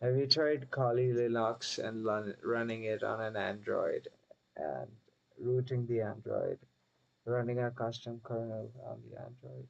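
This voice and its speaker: The voice has a non-native accent, a fairly slow pace and big swings in loudness. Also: man. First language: not English. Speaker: streamer building software. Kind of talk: casual chat.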